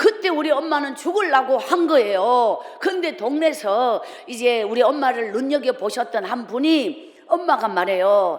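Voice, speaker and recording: A woman with a high voice talks fairly slowly in an animated tone, her pitch swinging very widely, with noticeable background noise and audible room echo. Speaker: evangelist preacher. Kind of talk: revival sermon with life testimony. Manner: animated storytelling.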